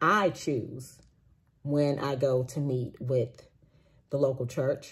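Here is a woman with a very deep, low pitch. Her voice is somewhat breathy. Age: 40s. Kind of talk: personal testimony monologue. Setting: recorded after a walk, solo video. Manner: casual, with frequent fillers and restarts. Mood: earnest, animated. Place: home room. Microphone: phone near.

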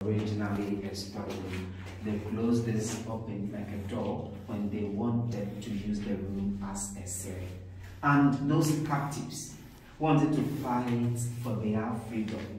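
A man speaks in a solemn tone within strong room echo over light background noise. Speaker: tour guide. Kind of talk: guided historical site tour explaining slave cell. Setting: on-site tour in historic castle. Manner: solemn, emphatic with repetitive rhetorical lists; measured, clipped enumerating phrases. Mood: solemn, explanatory. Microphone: phone near.

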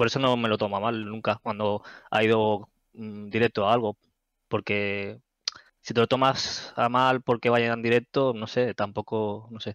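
Fairly slow, monotone delivery from a man, flat in intonation, over a quiet background. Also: dry sound with no echo. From Barcelona area, Spain; Spain. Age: 30s. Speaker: gamer and community moderator; gaming streamer. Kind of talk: casual interview; casual conversation. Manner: hesitant, many fillers. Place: home room. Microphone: headset.

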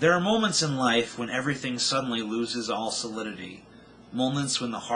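A natural voice, reading aloud.

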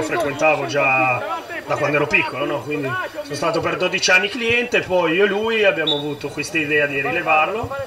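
A man speaks at a fairly quick pace. Crowd noise can be heard behind him. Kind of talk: interview answer. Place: stadium. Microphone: handheld.

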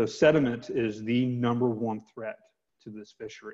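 An ordinary speaking voice with an American accent goes at a moderate pace. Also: man, quiet background. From US South, Georgia (Metro Atlanta); Georgia. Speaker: environmental nonprofit advocate. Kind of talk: webinar interview. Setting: video call. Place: home room. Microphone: earbuds.

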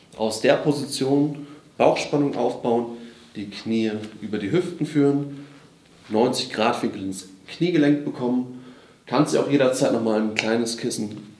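A man at a fairly slow pace with long, frequent pauses, ordinary pitch variation and audible room echo. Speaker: physiotherapy exercise instructor. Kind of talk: tutorial. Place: gym.

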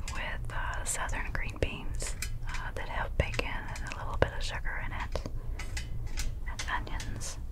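A woman talks at a fairly slow pace. Loud background noise fills the recording. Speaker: ASMR creator. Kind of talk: whispered ASMR talk.

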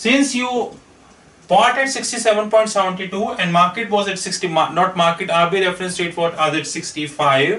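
Over audible room echo, a man with a high pitch speaks in a raised, projected voice at a very slow pace. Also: ordinary pitch variation. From India. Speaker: finance consultant; finance trainer. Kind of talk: lecture. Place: classroom. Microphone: camera far.

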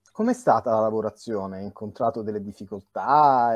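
A man at a moderate pace, dry sound with no echo, over a quiet background. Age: young. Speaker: interviewer and film director; interviewer. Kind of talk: interview. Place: home room. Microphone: video call.

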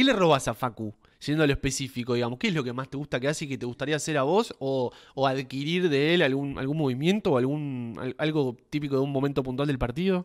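Against a quiet background, a man speaks with a fairly high pitch. He goes at a very fast pace. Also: ordinary pitch variation. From Argentina. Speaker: sports podcast host. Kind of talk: interview. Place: home room. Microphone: studio mic.

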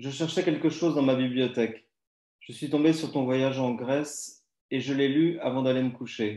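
Against a quiet background with audible room echo, a man speaks in a dark, mellow tone with fairly even intonation. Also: moderate pace. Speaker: writer; poetry reader. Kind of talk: reading aloud. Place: home room. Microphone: too quiet; video call.

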